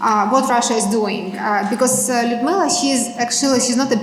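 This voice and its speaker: In a Ukrainian accent, a woman speaks in a high voice with ordinary pitch variation, over noticeable background noise and audible room echo. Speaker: Ukrainian advocate for captives. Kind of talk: public talk at community event. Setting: library event with audience. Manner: halting, many fillers.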